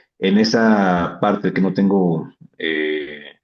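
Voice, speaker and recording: A man's very deep, low voice, very slow and fairly even in intonation, with audible room echo. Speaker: coaching client. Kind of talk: coaching session conversation. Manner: halting, many fillers.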